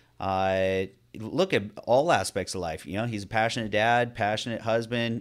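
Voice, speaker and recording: At a moderate pace, a man with an American accent and a plain, everyday voice speaks at a fairly low pitch with ordinary pitch variation, in a very clean recording with a silent background. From Northern California. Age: 40s. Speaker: podcast host, fitness coach. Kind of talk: casual chat.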